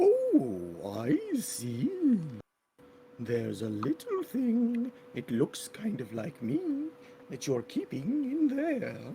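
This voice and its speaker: A man speaks in a put-on character voice at a very slow pace. He takes long, frequent pauses. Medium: actual play. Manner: cooing, drawn-out exclamations.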